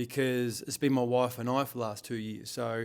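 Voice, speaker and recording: This man has an Australian accent. He speaks at a fairly quick pace. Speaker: business owner and leadership coach. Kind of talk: vlog monologue. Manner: halting, repeats words; slurring slightly.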